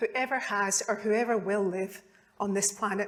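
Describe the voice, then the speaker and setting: This is a woman talking with a Scottish accent. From Scotland, Glasgow. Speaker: neurologist. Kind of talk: public talk. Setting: stage with audience.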